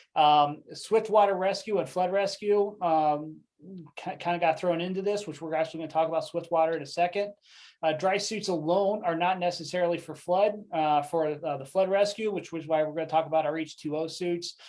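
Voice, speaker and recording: A man speaks at a high pitch with fairly even intonation. His pace is fairly quick. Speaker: dive equipment product presenter. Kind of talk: product presentation webinar. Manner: fast; halting, many fillers.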